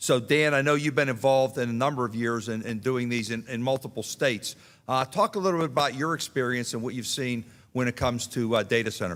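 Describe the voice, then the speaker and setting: Speaking at a very fast pace with a strong Pittsburgh accent, a man uses a medium pitch with ordinary pitch variation. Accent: strong Pittsburgh (Yinzer). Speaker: panel moderator. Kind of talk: moderating a town hall panel.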